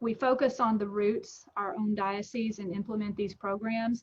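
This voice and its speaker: This woman speaks in a Texan accent. Her pitch is fairly high. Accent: Texan American English. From Texas. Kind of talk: interview. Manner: casual, with many fillers and restarts.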